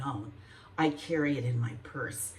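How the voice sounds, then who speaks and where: This woman's voice has a very deep, low pitch and ordinary pitch variation. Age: 70s. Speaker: lifestyle vlogger. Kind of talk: casual talk to camera. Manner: chatty.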